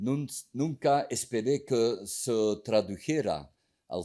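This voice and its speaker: Very slowly, a man speaks in a dark, mellow tone with ordinary pitch variation on a very clean recording with a silent background. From Belgium (Flanders). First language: Dutch (Flemish) (speaking Spanish). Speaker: book author. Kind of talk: formal speech at book presentation.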